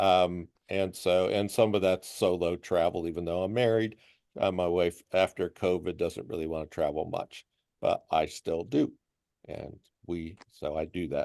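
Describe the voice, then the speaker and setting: Against a quiet background, a man with a very deep, low pitch and a dark, mellow tone speaks fairly slowly with fairly even intonation, in a dry, close sound with no echo. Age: 60s. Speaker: visually impaired traveler. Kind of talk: group chat introduction.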